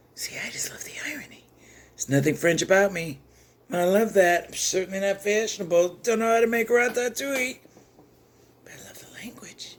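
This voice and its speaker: A woman talks in an animated, lively way at a medium pitch. Her loudness rises and falls sharply. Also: fairly quick pace. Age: 60s. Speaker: chess content creator and former teacher. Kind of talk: rant.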